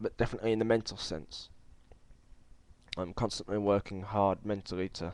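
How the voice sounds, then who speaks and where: A man talks in a fairly low voice with monotone, flat intonation. Long pauses come often. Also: fairly quick pace. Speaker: video blogger. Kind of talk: video response monologue. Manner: halting, stumbling; lacks fluency.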